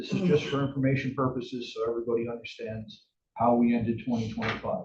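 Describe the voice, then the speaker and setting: A somewhat breathy man speaks at a fairly quick pace with ordinary pitch variation. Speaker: finance officer presenting to board. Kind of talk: financial report presentation. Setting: board meeting. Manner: fast.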